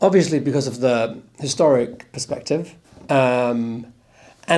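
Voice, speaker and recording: At a very slow pace, a man speaks with a dark, mellow tone. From Denmark. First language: Danish. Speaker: actor. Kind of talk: interview. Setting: convention panel. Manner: halting.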